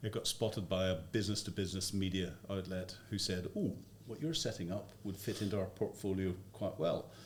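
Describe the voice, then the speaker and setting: With a Northern Irish accent, the speaker talks at a fairly quick pace in a somewhat breathy voice with fairly even intonation. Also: man, fairly low pitch for a man. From Northern Ireland. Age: 60s. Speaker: former army intelligence officer and media commentator. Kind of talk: podcast interview. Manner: hesitant, many fillers.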